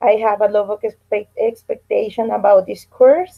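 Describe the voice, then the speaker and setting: A woman speaks with a Spanish accent at a medium pitch. Her intonation stays fairly even. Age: 30s. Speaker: English student and teacher. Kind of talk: language class introduction. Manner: halting.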